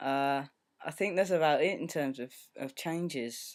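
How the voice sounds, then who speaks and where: This is a man speaking. He has a British accent. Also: very clean recording, silent background. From UK. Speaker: video blogger. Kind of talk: casual video diary. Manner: hesitant, many filler ums.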